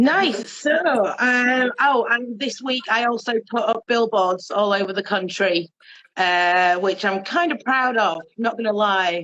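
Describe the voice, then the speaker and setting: A woman with a Yorkshire accent speaks at a fairly slow pace and a fairly high pitch. Her loudness stays very even and her pitch variation is ordinary. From Yorkshire, Bradford. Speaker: bi activist, organisation founder. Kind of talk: casual chat.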